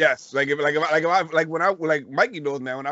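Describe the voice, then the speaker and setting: The man's voice shows ordinary pitch variation. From Puerto Rican heritage. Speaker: podcast host. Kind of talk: casual chat. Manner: loud, animated.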